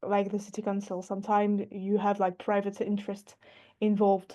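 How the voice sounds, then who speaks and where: The background stays quiet as a woman talks in a dark, mellow tone. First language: not English. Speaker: workshop participant working in urban planning. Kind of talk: online workshop discussion. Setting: video call. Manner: halting, many hesitations.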